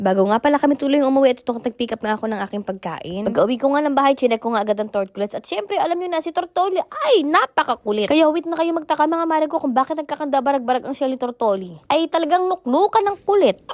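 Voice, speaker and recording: A woman with a high pitch speaks in an animated tone at a very fast pace, with hardly any pauses and very wide pitch swings. The sound is dry and close with no echo, though noticeable background noise is present. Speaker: vlogger. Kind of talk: vlog narration. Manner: chatty, animated.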